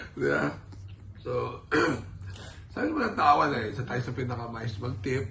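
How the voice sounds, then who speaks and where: The speech moves at a moderate pace with long, frequent pauses, set against noticeable background noise and audible room echo. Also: man. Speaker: horse racing tipster. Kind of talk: casual chat.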